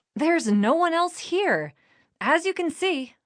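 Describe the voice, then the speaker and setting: In a squeaky, put-on character voice, someone speaks at a fairly slow pace with lively intonation. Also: woman, extremely high pitch for a woman. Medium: audio drama. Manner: quick-witted, earnest.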